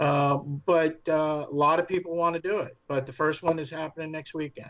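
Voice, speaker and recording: At a moderate pace, a man with a New York accent talks in monotone, flat intonation at a fairly high pitch. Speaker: fan film studio head. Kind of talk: podcast interview. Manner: hesitant, many fillers.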